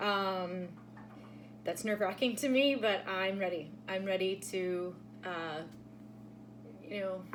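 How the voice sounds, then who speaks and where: Amid audible room echo, a woman of medium pitch speaks at a very slow pace, with ordinary pitch variation and long, frequent pauses. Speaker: tarot reader. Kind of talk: casual vlog talk to viewers. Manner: halting, many fillers.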